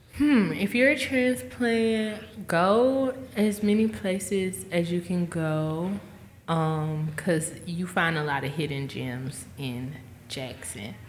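In a room with audible echo, a woman with a fairly low pitch speaks at a very slow pace with very wide pitch swings. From Mississippi. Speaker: musician. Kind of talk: casual chat.

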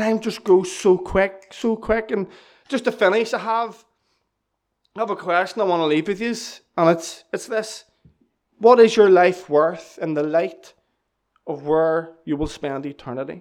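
Speaking with a Northern Irish accent, a man with a high voice moves at a fairly slow pace, using ordinary pitch variation and long, frequent pauses. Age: 20s. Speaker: church member giving testimony. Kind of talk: testimony. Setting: church.

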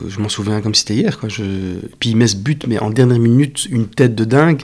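A man in a normal speaking voice, medium in pitch, with ordinary pitch variation. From Belgium. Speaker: actor. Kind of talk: casual chat.

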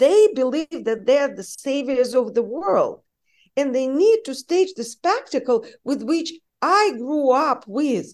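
A woman with a Russian accent speaks at a fairly slow pace in a high voice, her pitch swinging very widely over a quiet background. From Russia (Saint Petersburg). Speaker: journalist. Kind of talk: interview.

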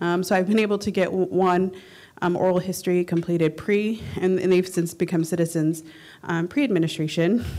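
In an unremarkable speaking voice, a woman talks at a moderate pace with ordinary pitch variation. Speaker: oral historian audience member. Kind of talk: conference panel Q&A.

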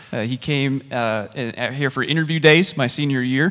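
Moderate pace from a man with a fairly high pitch, a bright, sharp tone and ordinary pitch variation. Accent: South Carolina. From US South, South Carolina. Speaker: church planter, pastor. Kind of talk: stage interview.

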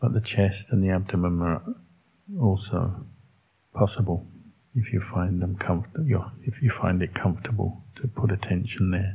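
A man with a normal speaking voice talks at a fairly low pitch, his pitch variation ordinary. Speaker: Buddhist monk leading meditation. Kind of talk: guided meditation. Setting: in a room with a live audience. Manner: slow, calm and unhurried, with gentle instructions.

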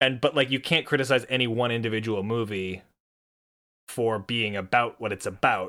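This man has a medium pitch and fairly even intonation. He talks at a moderate pace. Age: 20s. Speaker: podcast co-host. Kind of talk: casual chat.

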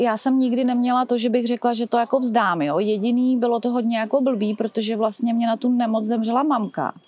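Her fairly high-pitched voice is an unremarkable speaking voice, as this woman talks at a fairly quick pace with very even loudness. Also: fairly even intonation. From Czechia, České Budějovice. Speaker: drugstore branch manager, cancer survivor and runner. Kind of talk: casual interview testimony.

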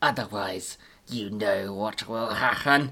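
The speaker puts on a character voice, low in pitch. The pace is fairly slow. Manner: cold, menacing, lecturing.

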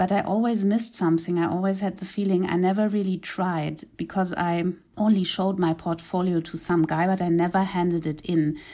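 Heard on a very clean recording with a silent background, a woman with a German accent speaks fairly quickly with hardly any pauses, her dark, mellow tone flat and monotone. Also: medium pitch for a woman. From East Africa (Uganda and Kenya). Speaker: graphic novelist. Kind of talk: interview.

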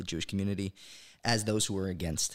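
A man with a New York accent and a fairly low pitch speaks in a monotone, flat way, in a very clean recording with a silent background. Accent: New York American. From New York (Brooklyn, then Monsey). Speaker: pro-Israel campus activist. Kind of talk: casual interview. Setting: studio, sitting across the table.

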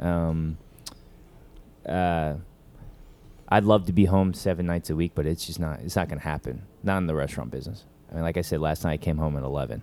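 A man with an American accent speaks at a fairly quick pace in a very deep, low voice with a dark, mellow tone. His pitch varies in an ordinary way, and he takes long, frequent pauses. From Tokyo, Japan and Atlanta, US South. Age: 30s. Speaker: restaurant founder and chef. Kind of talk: interview before live audience. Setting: workshop with live audience.

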